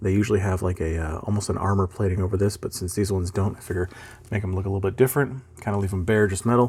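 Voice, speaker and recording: Mumbling at a very fast pace, a man speaks in a somewhat breathy, fairly low voice with fairly even intonation. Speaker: miniature painting hobbyist. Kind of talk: casual painting tutorial narration. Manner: rambling, mumbles a lot.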